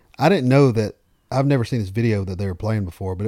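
In a Southern US accent, a man with a fairly low pitch and a dark, mellow tone speaks with ordinary pitch variation on a very clean recording with a silent background. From US South. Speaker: radio host and country music artist. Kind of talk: casual chat. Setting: home, on a couch.

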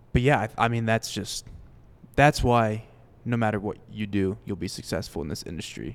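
A man speaks with an American accent in an unremarkable speaking voice. His pitch is fairly low, with ordinary pitch variation. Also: moderate pace. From Florida, Fort Myers. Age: 20s. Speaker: podcast host. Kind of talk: casual interview chat. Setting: live at a country music venue.

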